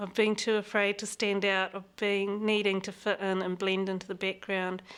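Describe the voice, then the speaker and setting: A woman speaks with a New Zealand accent. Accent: Kiwi. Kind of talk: interview.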